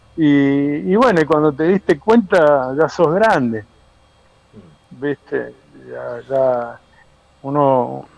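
A man speaking very slowly, fairly high in pitch, with ordinary pitch variation. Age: 50s. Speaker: surfer and surf school founder. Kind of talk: casual interview.

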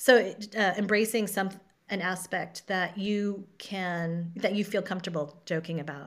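A woman speaks in a normal speaking voice at a medium pitch. Her pace is fairly slow and her intonation fairly even. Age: 50s. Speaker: acupuncturist and stand-up comedian. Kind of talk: casual interview chat.

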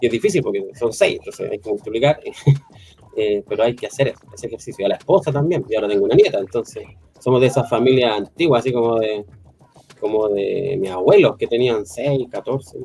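Very fast talking with noticeable background noise. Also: man. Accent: Chilean. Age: 50s. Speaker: IT college teacher. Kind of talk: casual interview chat.

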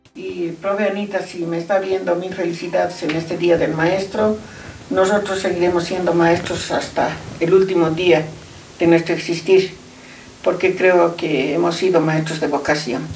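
Noticeable background noise and audible room echo surround a woman with fairly low pitch. She speaks at a fairly slow pace with monotone, flat intonation. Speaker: math teacher. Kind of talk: casual interview.

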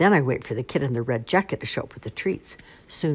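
The reading is aloud in a natural voice, and the intonation is lively.

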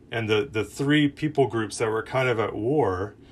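Somewhat breathy and fairly low-pitched, a man speaks with ordinary pitch variation. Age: 30s. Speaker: campus minister / preacher. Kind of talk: sermon. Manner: casual, conversational with fillers.

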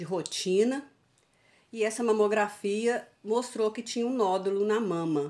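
A woman's unremarkable speaking voice, fairly slow, with ordinary pitch variation. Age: 60s. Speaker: cancer survivor. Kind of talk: interview, personal testimony.

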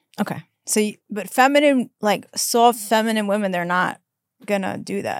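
Speaking in a normal speaking voice with an American accent, a woman talks at a moderate pace and fairly high pitch with ordinary pitch variation. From New York. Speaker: podcast host. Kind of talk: casual interview chat.

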